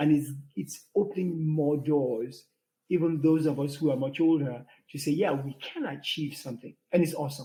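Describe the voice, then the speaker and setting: Somewhat breathy, the voice moves at a moderate pace. Its intonation stays fairly even. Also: man, fairly high pitch for a man. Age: 60s. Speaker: podcast co-host. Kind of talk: casual chat. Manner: halting, many fillers.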